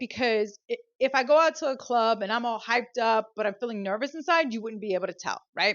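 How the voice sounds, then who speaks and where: A woman's high-pitched, animated voice at a fairly quick pace, with ordinary pitch variation. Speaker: podcast host. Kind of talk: solo podcast talk. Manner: fast.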